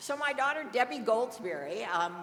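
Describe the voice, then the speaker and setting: Over noticeable background noise and audible room echo, a woman with an American accent speaks at a fairly slow pace with lively intonation. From US Midwest (southern Indiana). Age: 70s. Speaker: cannabis dispensary nurse. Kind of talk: storytelling talk to an audience.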